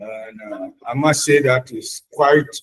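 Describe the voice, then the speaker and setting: Very slowly, a man speaks. The sound is dry and close with no echo. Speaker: small business owner, tire shop. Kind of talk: formal self-introduction. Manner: formal.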